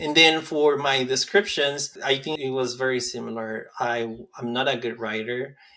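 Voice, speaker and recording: A man's medium-pitched voice with a Spanish accent, moderate pace, fairly even intonation and hardly any pauses. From rural Mexico. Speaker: medical school applicant. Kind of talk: interview.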